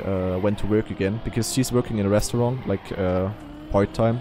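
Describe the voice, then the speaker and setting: A man with a fairly low pitch talks with fairly even intonation. The sound is dry with no echo, and there is noticeable background noise. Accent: German. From Eastern Germany. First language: German. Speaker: streamer; game streamer. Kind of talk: casual chat. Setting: live stream. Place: home room. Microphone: studio mic.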